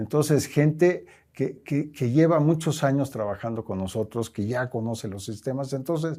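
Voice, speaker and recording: Dark and mellow in tone, a man's voice moves at a moderate pace with ordinary pitch variation on a very clean recording with a silent background. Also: medium pitch for a man. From Mexico. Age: 70s. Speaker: company president. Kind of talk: interview.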